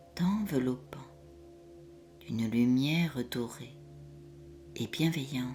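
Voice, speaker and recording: Over music in the background, a woman speaks very slowly in a soothing tone, her pitch very deep and low, with ordinary pitch variation. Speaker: hypnotherapist. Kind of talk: guided hypnosis session. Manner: slow, soothing.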